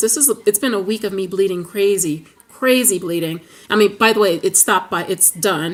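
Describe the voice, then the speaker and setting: There is noticeable background noise as a woman talks in an animated tone. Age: 30s. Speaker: vlogger sharing weight-loss surgery recovery. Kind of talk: casual vlog. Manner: fast.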